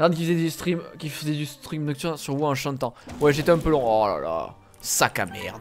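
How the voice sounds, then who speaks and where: Light background noise sits behind a man speaking at a moderate pace, his fairly high pitch showing ordinary pitch variation. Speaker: gaming YouTuber; gaming streamer. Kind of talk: gameplay commentary. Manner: animated. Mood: joking, mildly exasperated. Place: home room.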